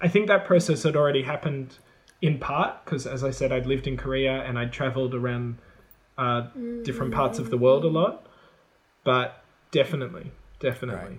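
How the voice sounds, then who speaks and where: A man with an Australian accent, medium-pitched, at a fairly quick pace broken by long, frequent pauses, with ordinary pitch variation and noticeable background noise. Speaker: former high school English and drama teacher. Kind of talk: casual chat.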